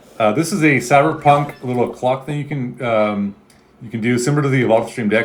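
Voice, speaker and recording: Over noticeable background noise, a man with an American accent speaks at medium pitch with lively intonation. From Chicago suburbs, Illinois. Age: 40s. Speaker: gaming streamer. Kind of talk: casual live stream chat. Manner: dramatic, screams a lot.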